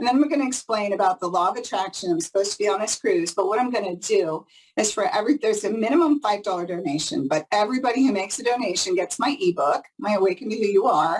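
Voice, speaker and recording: Very fast and with hardly any pauses, a woman talks at a medium pitch. Her tone is animated and her intonation lively. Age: 60s. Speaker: psychic reader. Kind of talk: interview.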